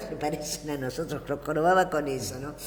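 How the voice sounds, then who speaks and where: With noticeable background noise and audible room echo, a man at fairly high pitch talks at a moderate pace with fairly even intonation. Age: 70s. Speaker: political talk show host. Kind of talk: political discussion. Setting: TV studio.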